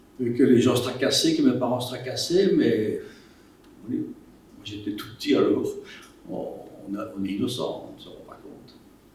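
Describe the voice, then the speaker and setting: Audible room echo fills the space. A man speaks in a Walloon accent. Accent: Belgian French (Walloon). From Belgium, Wallonia (Liège province). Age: 80s+. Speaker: war witness. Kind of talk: testimony. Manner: halting.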